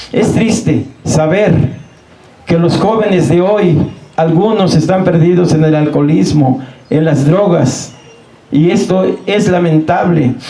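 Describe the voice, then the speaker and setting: With audible room echo and noticeable background noise, a high-pitched man talks at a very slow pace, with ordinary pitch variation and long, frequent pauses. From Mexico, Morelos. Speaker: local chronicler. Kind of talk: public talk. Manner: halting.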